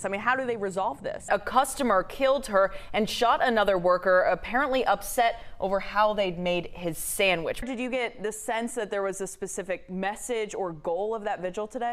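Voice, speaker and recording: A woman with a normal speaking voice, fairly high in pitch, at a moderate pace and with ordinary pitch variation. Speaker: television news anchor and investigative reporter. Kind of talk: broadcast news anchor delivery, reel of news reads and live interviews.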